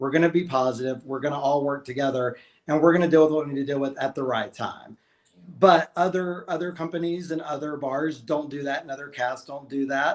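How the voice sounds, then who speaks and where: A man's fairly high voice with a Southern US accent, fairly quick pace and fairly even intonation. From Alabama. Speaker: drag queen. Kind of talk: casual chat. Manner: loud.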